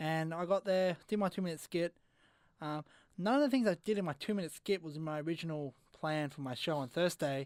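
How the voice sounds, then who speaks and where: A man with an Australian accent, high in pitch with ordinary pitch variation, at a fairly quick pace, on a very clean recording with a silent background and a dry, close sound with no echo. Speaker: radio host and amateur comedian. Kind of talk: casual chat. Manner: fast.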